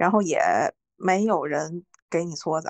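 Over a quiet background, a woman speaks at a fairly slow pace with a medium pitch and ordinary pitch variation. The sound is dry and close, with no echo. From northern China. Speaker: podcast co-host. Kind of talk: casual chat.

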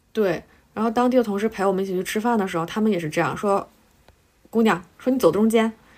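A woman at a very fast pace, with big swings in loudness. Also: medium pitch for a woman, ordinary pitch variation. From Northeast China (Harbin). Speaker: podcast co-host, journalist. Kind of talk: casual chat.

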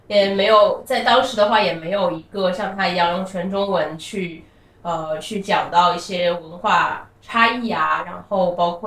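Ordinary pitch variation against noticeable background noise. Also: woman. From China. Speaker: company co-founder, former finance professional. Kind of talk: casual interview. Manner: halting, many filler sounds.

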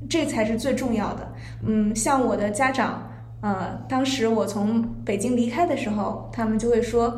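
A woman speaks at a fairly high pitch and a fairly slow pace. Her intonation stays fairly even, and noticeable background noise is present. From Zhangjiakou, Hebei. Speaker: guest. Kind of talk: casual chat. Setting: recorded in a tea room.

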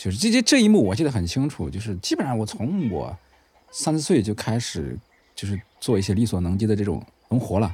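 With a Henan accent, a man speaks in a fairly low pitch, using lively intonation and vocal fry. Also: fairly quick pace. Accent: Henan accent, northern-sounding. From Hubei (Zhongxiang), Henan migrant family. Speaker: third-generation reservoir migrant, new-media worker. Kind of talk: personal testimony.

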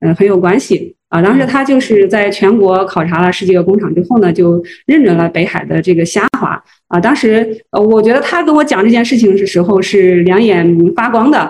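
A woman talks at a fairly quick pace and a medium pitch. Her loudness is very even, and her pitch varies in an ordinary way. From Henan, Zhengzhou. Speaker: food brand marketing executive. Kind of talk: interview. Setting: livestream. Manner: hesitant, many fillers.

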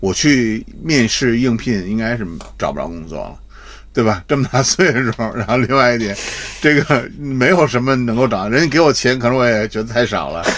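With a normal speaking voice, a man keeps a medium pitch with ordinary variation and a moderate pace. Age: middle-aged. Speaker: retired advertising executive. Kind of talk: casual chat.

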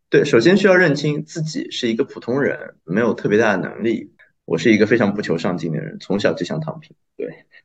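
A man's fairly high voice with vocal fry, very wide pitch swings and a fairly quick pace. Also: big swings in loudness. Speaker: restaurant worker, former journalism student. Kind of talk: casual chat.

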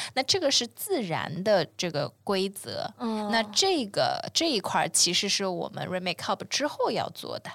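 A woman at a fairly slow pace with very wide pitch swings and hardly any pauses. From China, long periods abroad. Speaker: environmental startup founder. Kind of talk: casual interview. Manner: hesitant, many filler sounds.

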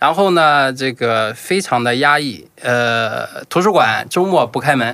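A man's bright, sharp, medium-pitched voice with a Shandong accent and lively intonation on a very clean recording with a silent background. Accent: rural Shandong-accented Mandarin. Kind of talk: casual chat.

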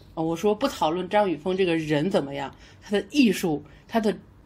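A woman speaks at a moderate pace in a plain, everyday voice, her pitch medium and her intonation lively. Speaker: podcast host. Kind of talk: casual chat.

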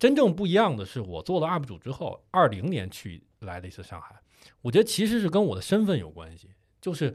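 Over a quiet background, a man with vocal fry talks fairly quickly at a fairly high pitch, his voice swinging very widely. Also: big swings in loudness. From Beijing. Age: 30s. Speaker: podcast co-host, video creator. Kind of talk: casual chat.

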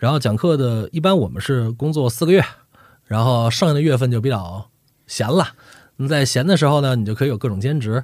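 An ordinary speaking voice from a man, with lively intonation at a fairly quick pace. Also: medium pitch for a man. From northern China. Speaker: voice actor and dubbing director. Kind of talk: casual chat.

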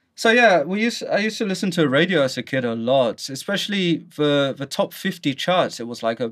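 A man speaks at a moderate pace in a London accent. His pitch swings very widely. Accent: British (London). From London, England. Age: 30s. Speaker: podcast host. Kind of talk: casual chat.

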